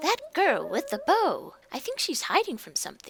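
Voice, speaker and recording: In a put-on character voice, the speaker talks at a moderate pace and an extremely high pitch with very wide pitch swings. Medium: game stream.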